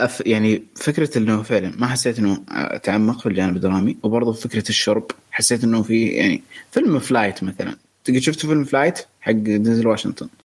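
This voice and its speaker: A man in a normal speaking voice talks at a fairly quick pace with medium pitch, ordinary pitch variation and very even loudness. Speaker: co-host, movie discussant. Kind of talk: casual chat.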